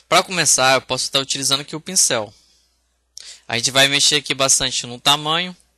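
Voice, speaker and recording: A bright, sharp tone carries ordinary pitch variation at a fairly quick pace, on a very clean recording with a silent background. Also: man. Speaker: software instructor. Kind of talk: tutorial. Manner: casual, hesitant with fillers.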